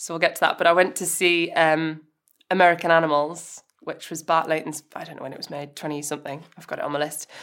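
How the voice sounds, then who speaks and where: Talking at a very fast pace, a woman uses a fairly low pitch. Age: 20s. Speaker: camera assistant. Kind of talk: casual chat.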